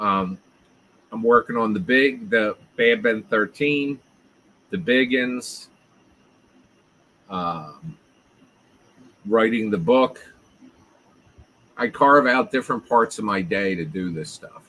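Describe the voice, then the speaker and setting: With a South Jersey accent, a man speaks very slowly at medium pitch in a bright, sharp tone, leaving long, frequent pauses. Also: lively intonation, big swings in loudness. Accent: South Jersey accent, people hear Philly. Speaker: live streamer. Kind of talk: casual chat. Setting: live stream.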